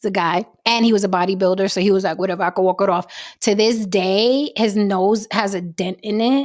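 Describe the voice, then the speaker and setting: A woman speaks at a fairly quick pace and medium pitch in an animated tone. The recording is very clean, with a silent background. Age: 40s. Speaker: podcast host. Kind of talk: casual chat.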